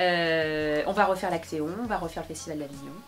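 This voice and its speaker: Over music in the background and with audible room echo, a woman talks at a moderate pace. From France, Bobigny (Seine-Saint-Denis, Paris suburbs). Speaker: opera singer and actress. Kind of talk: interview. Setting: studio. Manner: hesitant, many fillers.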